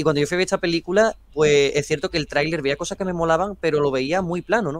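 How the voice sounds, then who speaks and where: Speaking at a very fast pace with ordinary pitch variation, a man is heard in a dry recording with no echo. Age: young. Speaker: film youtuber. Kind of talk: casual debate. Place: home room. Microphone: video call.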